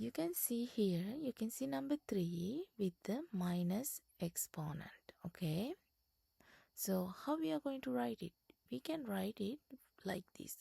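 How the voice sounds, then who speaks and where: The speech comes at a very slow pace. The speaker has a non-native accent. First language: not English. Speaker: self-taught tutor for GED students. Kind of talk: tutorial. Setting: slide presentation. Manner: halting, many fillers and restarts.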